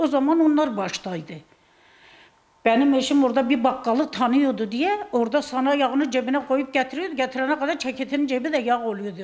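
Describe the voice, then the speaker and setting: A woman's high, lively voice at a moderate pace. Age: 70s. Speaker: pensioner's wife interviewed on the street; interviewee. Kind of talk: street interview. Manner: animated. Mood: passionate, indignant about politics. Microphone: handheld.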